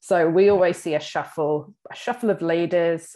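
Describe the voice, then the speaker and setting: In a very clean recording with a silent background, a woman with an Australian accent uses a dark, mellow, fairly low voice and fairly even intonation. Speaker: business director and podcast host. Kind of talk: casual chat.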